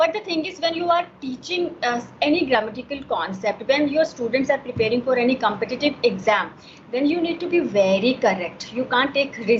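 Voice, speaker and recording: Lively intonation with hardly any pauses, in an Indian accent, against noticeable background noise. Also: woman, high pitch for a woman. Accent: Indian English (Hindi). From Himachal Pradesh, India. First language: Hindi. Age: 40s. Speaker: homemaker. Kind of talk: English conversation practice. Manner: halting, many fillers.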